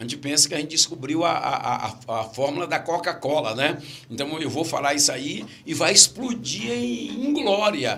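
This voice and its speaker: A man's fairly high voice at a moderate pace, with lively intonation and noticeable background noise. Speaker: pastor and preacher. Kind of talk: podcast interview. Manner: repetitive, halting.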